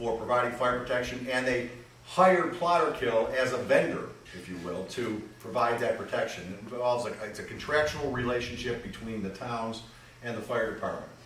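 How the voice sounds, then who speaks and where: A man is speaking with audible room echo. Light background noise is present too. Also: ordinary pitch variation, moderate pace. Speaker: public presenter. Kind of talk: public meeting presentation. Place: garage.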